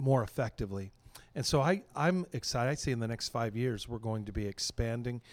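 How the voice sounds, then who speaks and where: In a very clean recording with a silent background, a man with an American accent and medium pitch talks at a fairly quick pace in an unremarkable speaking voice with ordinary pitch variation. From western Pennsylvania. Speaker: pastor. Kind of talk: interview. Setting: convention.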